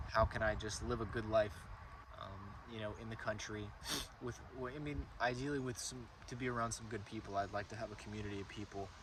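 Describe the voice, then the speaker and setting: A man with a fairly low pitch and ordinary pitch variation speaks fairly quickly while noticeable background noise carries on. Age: 20s. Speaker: landscaping business owner. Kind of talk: casual talk to camera. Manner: rambling, hesitant.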